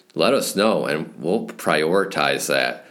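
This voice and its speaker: A man with an American accent speaks at a very deep, low pitch with vocal fry, and audible room echo surrounds him. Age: 30s. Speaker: podcast host, snowmobile business owner. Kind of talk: podcast monologue.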